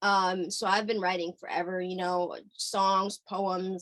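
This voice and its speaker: At a very slow pace, a woman speaks in a medium pitch, with a dry, close sound and no echo. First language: Hungarian. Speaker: singer-songwriter. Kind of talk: interview. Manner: halting, many fillers.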